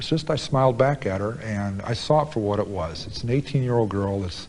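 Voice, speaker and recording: An ordinary speaking voice with an American accent, at a fairly quick pace with lively intonation. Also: man. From United States. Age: 40s. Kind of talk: interview answer. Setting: prison.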